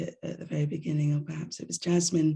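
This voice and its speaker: Against a quiet background, a woman with a British accent speaks at a very deep, low pitch, somewhat breathy and with a dark, mellow tone. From England. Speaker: drama therapist. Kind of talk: panel discussion.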